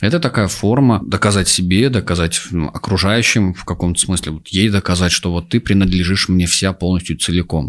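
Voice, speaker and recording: Delivered at a moderate pace, the speech has ordinary pitch variation and hardly any pauses. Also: man, very deep, low pitch for a man. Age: 30s. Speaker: psychologist and sexologist. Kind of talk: casual chat.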